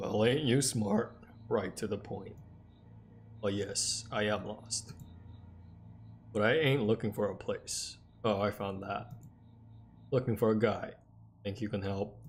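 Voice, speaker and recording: With clear background noise behind him, a man drawls in a put-on character voice of fairly low pitch, going at a fairly slow pace with long, frequent pauses. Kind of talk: casual, colloquial. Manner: flirtatious, direct.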